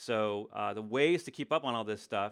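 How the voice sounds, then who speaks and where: A man's fairly low voice at a moderate pace, with ordinary pitch variation, on a very clean recording with a silent background. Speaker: tech educator and livestream host. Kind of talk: live Q&A stream. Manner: loud when excited.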